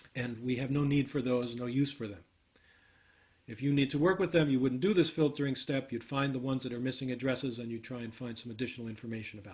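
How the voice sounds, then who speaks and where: A somewhat breathy man talks at a very fast pace. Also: medium pitch for a man, ordinary pitch variation. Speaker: workshop instructor. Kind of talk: live coding tutorial.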